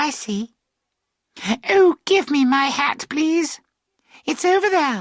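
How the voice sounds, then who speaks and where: Using a put-on character voice, a woman speaks high-pitched and fairly slowly, with long, frequent pauses, in a dry, close sound with no echo. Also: lively intonation. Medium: read story. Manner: chatty, light.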